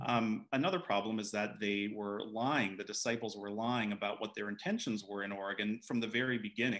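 A man's normal speaking voice, fairly low in pitch, with fairly even intonation, a fairly quick pace and hardly any pauses, against a quiet background. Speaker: author and attorney. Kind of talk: book event conversation. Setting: video call. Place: home room. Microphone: video call.

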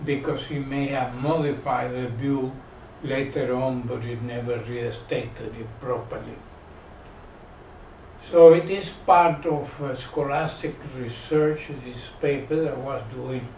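In a room with audible echo and light background noise, a man speaks at a fairly slow pace with fairly even intonation. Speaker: lecturer. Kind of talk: lecture. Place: meeting room. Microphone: camera far.

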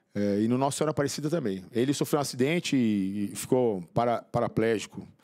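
A man's very fast speech with ordinary pitch variation over a quiet background. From São Paulo, Brazil. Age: 50s. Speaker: motivational speaker and author, former drug addict; podcast guest. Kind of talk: interview testimony. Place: studio. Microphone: studio mic.

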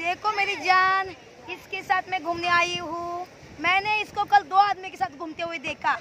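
Over light background noise, a woman's raised, projected voice has a bright, sharp tone and a very slow pace, the sound dry with no echo. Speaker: vlogger. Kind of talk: casual vlog chat, teasing. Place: beach. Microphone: phone near.

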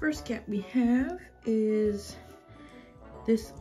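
A woman speaks with faint music in the background. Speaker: toy collector vlogger. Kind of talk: casual vlog chat. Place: home room. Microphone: phone near.

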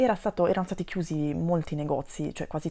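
Dark, mellow tone at a fairly quick pace. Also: woman. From Italy. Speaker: vlogger about expat life. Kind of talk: personal vlog storytelling. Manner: hesitant, many fillers. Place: home room. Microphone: lapel.

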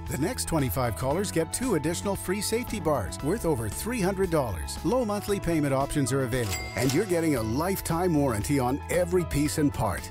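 Very fast speech from a man at a fairly high pitch, with very wide pitch swings, very even loudness and hardly any pauses, over background music. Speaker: announcer. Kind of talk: TV commercial read.

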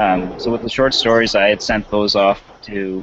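A man's fairly low voice at a moderate pace, monotone and flat in intonation, dry with no echo and light background noise. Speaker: podcast co-host. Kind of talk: panel discussion answer. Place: home room. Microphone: headset.

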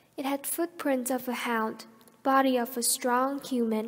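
A woman's high-pitched voice in a dramatic, solemn tone, with monotone, flat intonation and a fairly slow pace. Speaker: student presenter. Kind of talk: scripted faux-documentary narration, storytelling. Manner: measured, dramatic, storyteller pacing; formal, solemn, mysterious tone.

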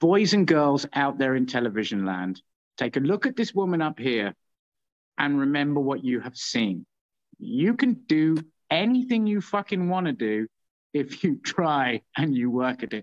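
A man speaks at a moderate pace with very wide pitch swings. The background is quiet. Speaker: show host. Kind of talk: casual show hosting chat. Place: home room. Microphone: phone near.

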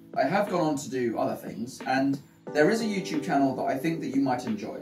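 A man speaks fairly quickly with clear music playing behind him. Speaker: channel host. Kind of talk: casual announcement to camera. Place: home room.

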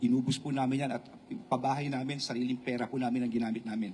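Very fast male speech, medium in pitch, with fairly level intonation. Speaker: politician. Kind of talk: press conference. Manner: halting.

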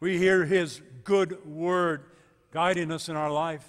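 A man talks at a high pitch with fairly even intonation. The background is quiet. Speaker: pastor. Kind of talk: sermon. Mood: warm, encouraging. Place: church.

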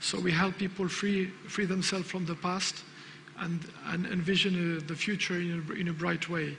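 Over noticeable background noise, a man speaks in a flat monotone at a high pitch and a moderate pace. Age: 50s. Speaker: business owner. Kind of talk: conference talk. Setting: stage with audience. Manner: halting.

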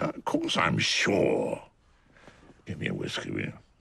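A raspy, put-on character voice from a man, at a moderate pace. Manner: gruff, stubborn, commanding.

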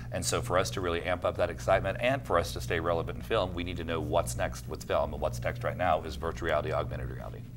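Someone talks at a very fast pace with lively intonation and hardly any pauses over noticeable background noise. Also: man, very deep, low pitch for a man. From Oklahoma (Alva). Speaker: film festival director. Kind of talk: casual interview. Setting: studio. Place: studio. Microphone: lapel.

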